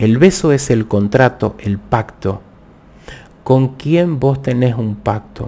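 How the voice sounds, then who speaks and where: A man speaks at a very slow pace with lively intonation. His tone is dark, mellow and somewhat breathy. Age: 50s. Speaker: tarot reader. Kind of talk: live stream tarot talk. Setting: live video stream. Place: home room. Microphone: studio mic.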